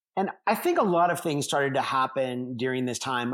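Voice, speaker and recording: A man speaks at a medium pitch and a moderate pace. His is a plain, everyday voice. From United States. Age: 50s. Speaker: Olympic champion and performance coach. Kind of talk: interview conversation.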